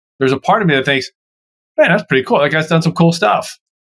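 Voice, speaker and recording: A man with a Baltimore accent and lively intonation, in a dry, close sound with no echo. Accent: Baltimore American English. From US, Baltimore Maryland. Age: 60s. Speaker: sports broadcaster and communications coach. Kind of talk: podcast interview.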